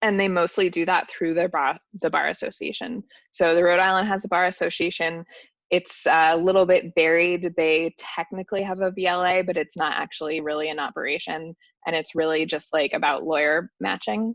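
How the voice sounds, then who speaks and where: Against a quiet background, a woman with a normal speaking voice talks at a fairly quick pace. Her pitch is fairly low and her intonation fairly even. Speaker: workshop presenter. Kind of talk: lecture.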